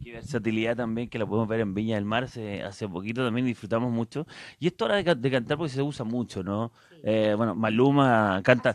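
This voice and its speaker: Speaking at a fairly quick clip with hardly any pauses, a man uses ordinary pitch variation in a dry recording with no echo. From Chile. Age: 40s. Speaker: radio host. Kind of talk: radio interview; reading out viewer comments. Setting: radio studio, live broadcast. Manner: animated. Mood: playful, joking. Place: studio. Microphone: handheld.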